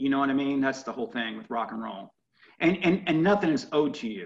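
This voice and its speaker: A man with an American accent, fairly high pitch, lively intonation and a fairly quick pace. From US Midwest, Indianapolis. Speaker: rock musician and radio host. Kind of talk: interview. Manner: animated.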